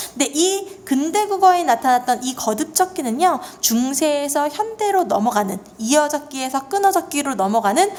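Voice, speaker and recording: The voice swings very widely in pitch at a moderate pace over noticeable background noise. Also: woman. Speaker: Korean language teacher. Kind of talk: lecture.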